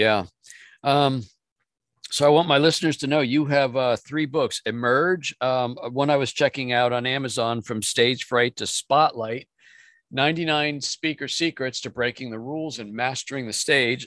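A man with an ordinary speaking voice talks at a moderate pace and medium pitch, with fairly even intonation. The sound is dry and close with no echo, and the background is quiet. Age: 60s. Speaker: podcast host and business coach. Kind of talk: podcast interview. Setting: on a boat.

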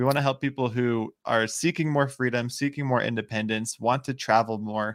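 The recording is very clean, with a silent background, carrying a man's medium-pitched voice at a fairly quick pace with fairly even intonation. It is an ordinary speaking voice. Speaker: online entrepreneur, digital nomad. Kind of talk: interview.

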